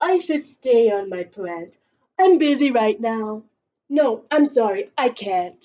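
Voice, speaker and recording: A put-on character voice is used here. The pace is fairly slow. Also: woman, fairly high pitch for a woman. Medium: read story. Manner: hesitant, nervous.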